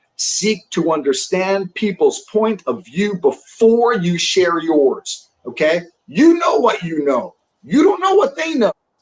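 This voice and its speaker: In a New York accent, the speaker talks at a fairly slow pace with very wide pitch swings. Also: man, big swings in loudness. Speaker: sales leadership coach. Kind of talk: podcast interview. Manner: animated.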